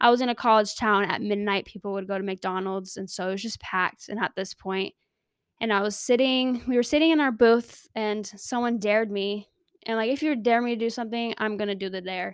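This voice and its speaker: A woman speaks fairly quickly in a Californian accent, her fairly high voice animated with ordinary pitch variation. The recording is very clean, with a silent background. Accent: General American, Californian. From Southern California. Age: 20s. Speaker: podcast host, nursing student. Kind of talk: casual solo monologue.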